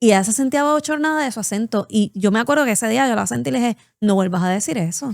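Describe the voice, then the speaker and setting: In a Puerto Rican accent, a woman talks very fast at a fairly high pitch with lively intonation, the sound dry and close with no echo in a very clean recording with a silent background. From Puerto Rico. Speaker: podcast co-host. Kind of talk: casual chat.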